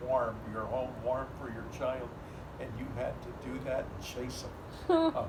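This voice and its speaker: Fairly slow delivery from a man, long, frequent pauses, and noticeable noise behind him. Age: 80s+. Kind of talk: family storytelling.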